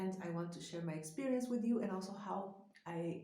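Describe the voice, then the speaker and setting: In a room with audible echo, a woman speaks at a moderate pace, her somewhat breathy voice carrying a dark, mellow tone. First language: Spanish. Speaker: psychologist. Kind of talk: vlog talk to camera.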